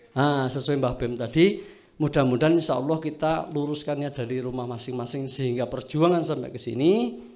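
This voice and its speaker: Audible room echo around fairly quick speech with ordinary pitch variation. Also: man, fairly high pitch for a man. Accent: Javanese. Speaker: farming training participant. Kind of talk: self-introduction speech to a group.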